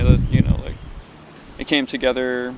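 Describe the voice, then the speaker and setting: A man speaks with a Western New York accent. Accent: Western New York American. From Buffalo, New York. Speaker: electronic musician and visual artist. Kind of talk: oral history interview answer. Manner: hesitant, reflective.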